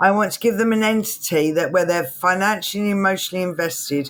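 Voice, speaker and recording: A woman speaks in a plain, everyday voice at medium pitch. She moves at a fairly quick pace with ordinary pitch variation. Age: 60s. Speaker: entrepreneur. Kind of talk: interview.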